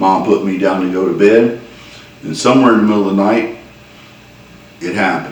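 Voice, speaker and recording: A Southern US accent against noticeable background noise. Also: man. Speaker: storyteller. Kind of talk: humorous personal story told to camera. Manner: folksy, conversational.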